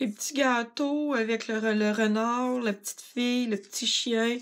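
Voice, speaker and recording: On a very clean recording with a silent background, a woman in a Quebec accent speaks at a fairly slow pace with ordinary pitch variation. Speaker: craft product demonstrator. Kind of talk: tutorial.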